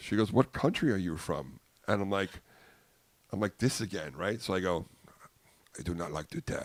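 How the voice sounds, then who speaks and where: In a very clean recording with a silent background, a voice with an American accent speaks at a moderate pace with lively intonation. Long, frequent pauses break up the speech. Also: man, very deep, low pitch for a man. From US Northeast, Long Island, New York. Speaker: comedian. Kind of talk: casual chat. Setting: podcast studio with headsets. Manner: animated.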